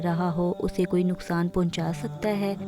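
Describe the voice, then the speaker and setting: A woman speaks in a flat monotone over music playing in the background. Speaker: hobby voice-over artist. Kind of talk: Islamic motivational talk.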